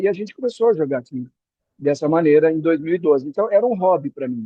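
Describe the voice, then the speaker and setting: Speaking very fast, a man talks at a fairly high pitch. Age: 60s. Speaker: retired executive, beach tennis coach. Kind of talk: podcast interview. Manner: halting, with repetitions.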